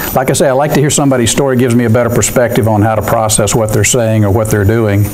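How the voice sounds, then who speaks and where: A man talks with ordinary pitch variation over noticeable background noise, with audible echo from the room. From military family, moved around US, settled in Georgia. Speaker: accounting firm managing partner. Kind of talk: guest talk to university students. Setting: classroom, no microphone. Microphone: no mic in room.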